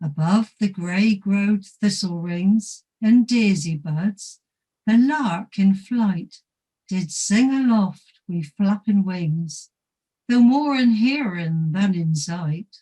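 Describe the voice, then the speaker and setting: A woman with a Dorset accent at a medium pitch, very slow, with lively intonation and music in the background. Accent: Dorset dialect reading. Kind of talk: poetry reading.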